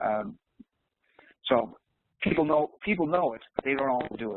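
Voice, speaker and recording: Pitched fairly high, a man talks at a moderate pace with ordinary pitch variation. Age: 60s. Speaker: business leadership presenter. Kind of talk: webinar Q&A. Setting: online webinar. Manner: hesitant, many fillers.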